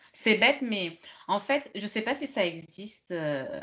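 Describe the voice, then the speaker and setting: A woman talks with a medium pitch. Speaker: French conversation partner. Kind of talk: casual chat. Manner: animated.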